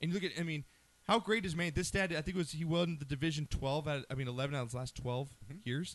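This man talks at a very fast pace with a fairly high pitch. His pitch varies in an ordinary way. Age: 30s. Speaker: sports talk radio host. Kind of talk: casual sports talk show. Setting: studio.

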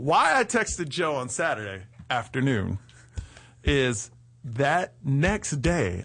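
At a very slow pace, a man with an American accent speaks with a fairly high pitch, vocal fry and very wide pitch swings. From Texas. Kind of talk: casual chat.

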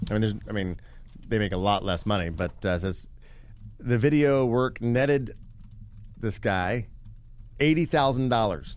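With a Midwestern American accent, a man speaks at a fairly low pitch and a fairly slow pace, his lively intonation broken by long, frequent pauses. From west-central Indiana, Vigo County. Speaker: podcast co-host. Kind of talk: reading news article aloud; casual comedic chat. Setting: podcast theater studio.

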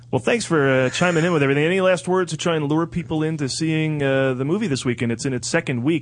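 Amid noticeable background noise, a man speaks very fast in a fairly high pitch with ordinary pitch variation. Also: hardly any pauses. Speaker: radio host. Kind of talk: casual chat. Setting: studio.

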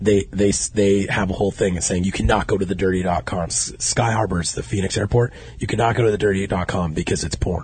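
With an American accent and very deep, low pitch, a man talks at a fairly quick pace with vocal fry and hardly any pauses. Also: ordinary pitch variation. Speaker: podcast host. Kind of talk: casual chat. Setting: studio. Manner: animated.

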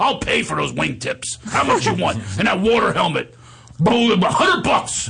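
A man uses a put-on character voice at a fairly slow pace. Background noise is clearly heard. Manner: pushy.

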